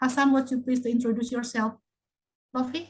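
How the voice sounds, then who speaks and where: The woman's voice is somewhat breathy. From Indonesia. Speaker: online English class moderator. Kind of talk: casual group chat.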